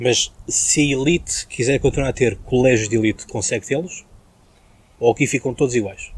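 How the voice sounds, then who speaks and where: A man at medium pitch, somewhat breathy, at a moderate pace, with very even loudness and ordinary pitch variation. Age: 20s. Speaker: podcast host. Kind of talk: interview. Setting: outdoor terrace.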